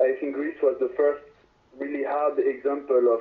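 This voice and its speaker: A man speaks with a French accent. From France. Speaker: reggae band singer. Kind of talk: interview. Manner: halting.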